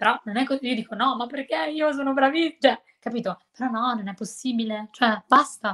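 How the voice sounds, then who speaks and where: At a moderate pace, a woman speaks with a high pitch, a bright and sharp tone, and ordinary pitch variation. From Milan area, Italy. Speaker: English teacher on social media. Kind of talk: casual interview chat.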